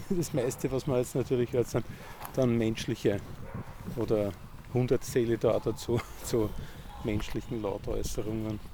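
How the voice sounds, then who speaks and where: Noticeable background noise surrounds a man speaking at a moderate pace with long, frequent pauses. His medium-pitched voice keeps a very even loudness and fairly even intonation. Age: 50s. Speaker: amateur ornithologist. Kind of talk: casual interview on a walk. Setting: outdoors in a park. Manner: halting, many fillers.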